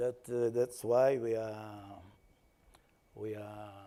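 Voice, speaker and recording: A man with a Portuguese accent speaks in a fairly low pitch, his dark, mellow tone held to a monotone, flat intonation. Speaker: salt industry panelist. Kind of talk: panel discussion. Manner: halting.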